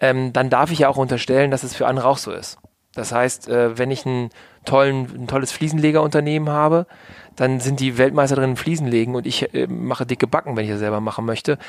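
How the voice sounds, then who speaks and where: Very fast speech with fairly even intonation. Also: man. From Hannover, northern Germany. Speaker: business consultant and entrepreneur. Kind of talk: podcast interview.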